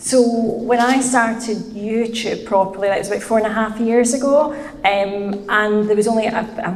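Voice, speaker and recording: A woman with a Scottish accent speaks with fairly even intonation amid noticeable background noise and audible room echo. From Scotland, Glasgow. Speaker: finance content creator. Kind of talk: podcast interview.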